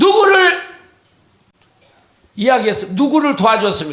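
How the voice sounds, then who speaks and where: A man speaks in an animated tone with a raised, projected voice. Audible room echo follows his words. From South Korea, same home region as the old man in the clip. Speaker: political speaker. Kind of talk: public speech.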